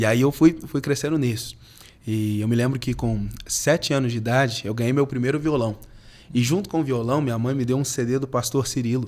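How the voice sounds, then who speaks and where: A man talks fairly quickly in a normal speaking voice, medium in pitch and fairly even in intonation. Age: 20s. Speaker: pastor and worship musician. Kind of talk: podcast interview.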